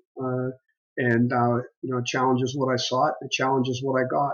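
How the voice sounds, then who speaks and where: With an American accent, a man speaks in a plain, everyday voice at a medium pitch and a moderate pace. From western Pennsylvania. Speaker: business executive and former Marine officer. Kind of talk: interview.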